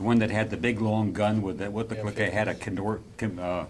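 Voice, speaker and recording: A man talks at a fairly quick pace with a fairly low pitch. Audible room echo surrounds his voice. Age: 80s+. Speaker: scale model builder. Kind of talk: casual show-and-tell at club meeting. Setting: club meeting room with group. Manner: halting, many fillers.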